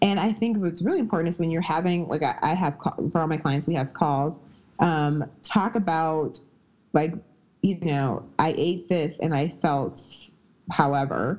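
A woman with a normal speaking voice, fairly low pitch, ordinary pitch variation and an American accent, at a moderate pace. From US Midwest. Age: 30s. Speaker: strength and nutrition coach. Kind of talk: casual interview.

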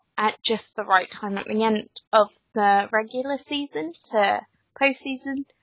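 Here a woman speaks in a plain, everyday voice at a fairly slow pace. Her pitch is fairly high, with ordinary pitch variation. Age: 20s. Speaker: podcast co-host, betting editor. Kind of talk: casual chat. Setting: Skype call.

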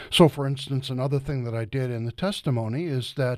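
A man with an American accent talks at a fairly high pitch. His pace is moderate, and the recording is very clean with a silent background. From Ohio, US Midwest. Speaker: ecology professor. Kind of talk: interview.

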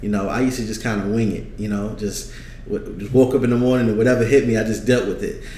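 A man with an American accent talks at a very fast pace, at medium pitch with fairly even intonation. Audible room echo and noticeable background noise are in the recording. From New York, Brooklyn. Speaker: trucking business owner and consultant. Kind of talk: casual interview.

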